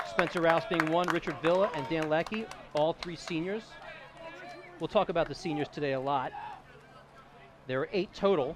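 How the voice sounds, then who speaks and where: At a moderate pace with long, frequent pauses, a man with a fairly high pitch speaks in an energetic tone with ordinary pitch variation, over noticeable background noise. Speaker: sports play-by-play announcer. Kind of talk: baseball play-by-play broadcast. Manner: fluent, energetic.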